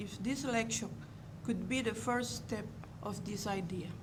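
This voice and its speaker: In a Cuban accent, a woman with a fairly high pitch speaks at a fairly slow pace with ordinary pitch variation, and audible room echo surrounds her voice. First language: Spanish. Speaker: museum curator. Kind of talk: lecture.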